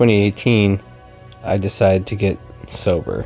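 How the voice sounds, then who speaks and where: Soft-spoken and fairly low in pitch, a man talks with fairly even intonation over music in the background. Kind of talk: ASMR life story.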